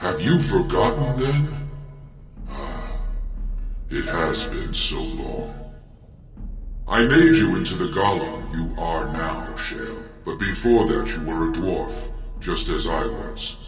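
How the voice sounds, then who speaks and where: A man speaks in a put-on character voice at a fairly slow pace. His pauses are long and frequent, and a clear echo surrounds him. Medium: video game. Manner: solemn, grave.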